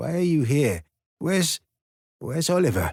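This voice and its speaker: A man's put-on character voice, raspy and fairly high, with lively intonation at a moderate pace and a dry, close sound with no echo. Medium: read story. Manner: mild, detached, drifting.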